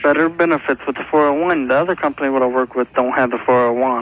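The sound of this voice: At a fast pace, a man speaks at a medium pitch with little pitch movement.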